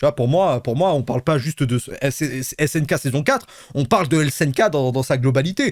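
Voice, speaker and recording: Talking at a fairly quick pace, this man has a fairly high pitch. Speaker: streamer reacting to a replay. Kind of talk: casual stream chat. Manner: loud; animated, halting repetitions.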